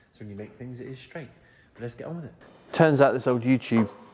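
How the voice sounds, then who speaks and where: A man speaks quietly. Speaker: fabricator, workshop builder. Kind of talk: workshop tutorial, casual chat. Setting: workshop. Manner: quiet, low-energy; casual, chatty.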